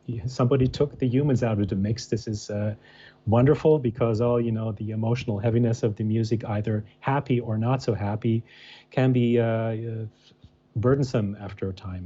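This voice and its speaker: At a moderate pace, a somewhat breathy voice with a dark, mellow tone and an American accent keeps its intonation fairly even. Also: man. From Germany. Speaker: musician and architect. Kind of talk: interview. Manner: halting, many fillers.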